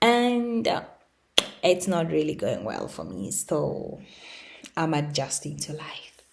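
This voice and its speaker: A woman speaks at a fairly slow pace with a non-native accent. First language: not English. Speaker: lifestyle YouTuber. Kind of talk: unscripted rant. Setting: home recording on laptop. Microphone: laptop mic, no camera.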